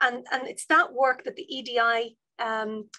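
A woman with a Dublin accent speaks at a fairly slow pace in a high, bright, sharp voice against a quiet background. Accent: Dublin Irish. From Ireland, Dublin North Inner City; Ireland. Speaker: university vice provost and professor. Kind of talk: online seminar talk. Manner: animated. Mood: warm, friendly. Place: office. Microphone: video call.

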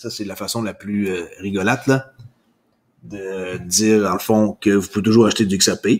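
A man is speaking. His pace is fairly slow. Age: 40s. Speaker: crypto YouTuber. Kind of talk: solo news commentary. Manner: casual with frequent fillers.

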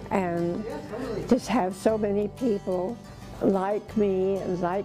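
With clear music in the background, the voice comes at a very slow pace in a monotone, flat intonation. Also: woman. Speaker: charity volunteer. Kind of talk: thank-you message to camera. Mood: warm, grateful, smiling. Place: office.

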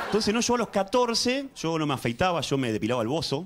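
Over loud background noise, a man with a Rioplatense accent talks at a fairly quick pace. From Argentina. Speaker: stand-up comedian. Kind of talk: stand-up comedy routine. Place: studio. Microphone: handheld.

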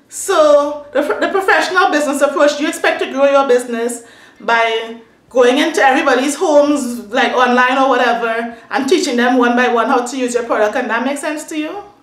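Her voice high-pitched and animated, a woman speaks with audible room echo. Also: ordinary pitch variation, fairly quick pace. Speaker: beauty and hair vlogger. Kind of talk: casual rant to camera. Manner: animated, upset. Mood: upset, indignant.

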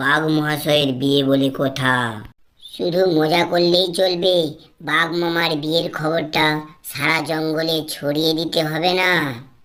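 A cartoonish character voice at middle pitch, fairly slow in pace, with audible echo. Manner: wheedling, calls the tiger "uncle".

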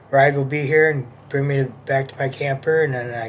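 Light background noise sits behind a man at a moderate pace. His intonation is monotone and flat. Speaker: vlogger. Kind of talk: casual vlog chat. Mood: calm, hopeful. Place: home room. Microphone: phone near.

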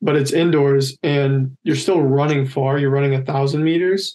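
The delivery moves at a moderate pace with monotone, flat intonation. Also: man. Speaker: college decathlete; podcast guest. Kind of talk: casual interview. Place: home room. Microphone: video call.

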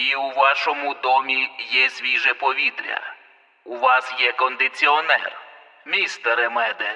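A man's robotic put-on character voice at medium pitch and moderate pace. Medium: read story. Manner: clipped, commanding.

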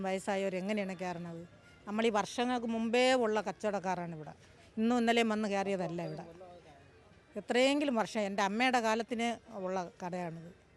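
A woman's fairly high voice with ordinary pitch variation, music playing in the background. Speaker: market trader. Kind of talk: street interview. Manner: agitated.

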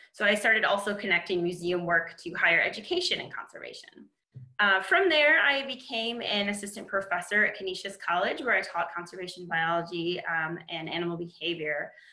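A woman with an American accent talks at a fairly quick pace with ordinary pitch variation. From Michigan. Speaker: conservation biologist; webinar panelist. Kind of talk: webinar panel presentation. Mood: warm, enthusiastic. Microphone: webcam.

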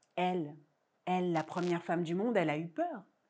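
Against a quiet background, a soft-spoken woman talks with ordinary pitch variation. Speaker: storyteller. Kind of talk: oral folk tale telling for young children, myth-like origin story. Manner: rhythmic, incantatory repetitions with deliberate hesitations ("il a dit, il a dit"); intimate, suspenseful delivery, softly building tension. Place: stage. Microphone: lapel.

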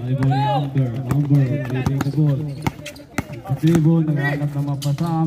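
A man with a fairly high pitch speaks in a flat monotone at a fairly slow pace, with long, frequent pauses and noticeable background noise. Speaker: amateur game commentator filming. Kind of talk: sports commentary. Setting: basketball gym, live game. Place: street. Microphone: phone near.

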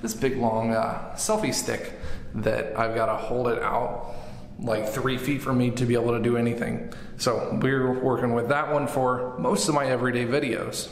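A man at a moderate pace with fairly even intonation and very even loudness, with audible room echo. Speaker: vlogger. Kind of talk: casual tutorial vlog chat. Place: bathroom. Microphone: phone near.

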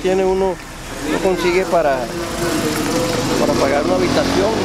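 A man is heard in a dry recording with no echo. Loud background noise runs behind him. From Córdoba, Colombia. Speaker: journalist. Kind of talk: interview answer. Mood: earnest, somewhat pleading. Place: street.

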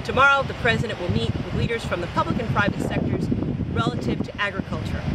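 Recorded dry with no echo, a woman speaks over loud background noise. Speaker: news presenter. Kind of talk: news reading, polished broadcast report. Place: beach.

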